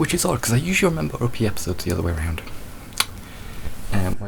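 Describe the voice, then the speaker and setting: A soft-spoken man at a very fast pace with very wide pitch swings, amid noticeable background noise. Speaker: video creator. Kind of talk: tutorial.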